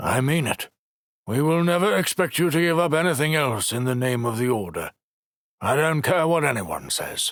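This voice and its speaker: A man's put-on character voice, fairly high in pitch with a warm tone, very even loudness and a moderate pace. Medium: read story. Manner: warm, gruff.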